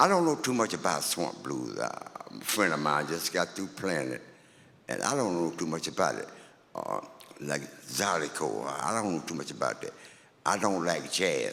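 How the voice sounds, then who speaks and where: A man with an American accent talks at a moderate pace in a very deep, low voice with very wide pitch swings and long, frequent pauses. Noticeable background noise runs underneath. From Louisiana. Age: 80s+. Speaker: blues musician. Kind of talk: interview.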